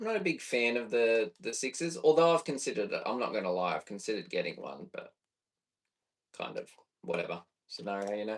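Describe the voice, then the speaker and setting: A man with an Australian accent rattles along at a very fast pace. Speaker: bass player and streamer. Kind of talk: casual live stream chat while recording music. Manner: casual, thinking aloud.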